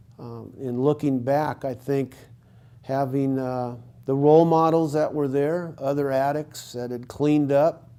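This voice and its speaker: In a Californian accent, a man speaks with a fairly high pitch, a dark, mellow tone and monotone, flat intonation. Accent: Californian American. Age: 60s. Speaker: former addict in recovery, counselor. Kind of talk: testimony. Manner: hesitant, with fillers.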